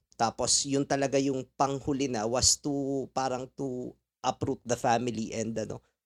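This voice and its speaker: In a Filipino accent, a man at a medium pitch speaks at a moderate pace with monotone, flat intonation. The sound is dry and close with no echo, on a very clean recording with a silent background. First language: Tagalog. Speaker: podcast host. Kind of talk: casual chat.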